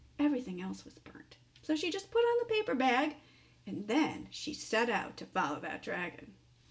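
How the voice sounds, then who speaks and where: Noticeable background noise behind a woman's voice at a moderate speed. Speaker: storyteller reading a children's picture book aloud. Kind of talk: children's story reading. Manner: warm, conversational narration with asides to the viewer.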